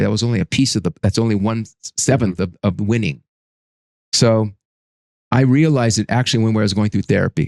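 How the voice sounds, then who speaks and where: A man talks at a fairly quick pace with a fairly low pitch and ordinary pitch variation. The sound is dry and close, with no echo. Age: 60s. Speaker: business consultant and coach. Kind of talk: interview testimony. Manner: halting, with repeated false starts.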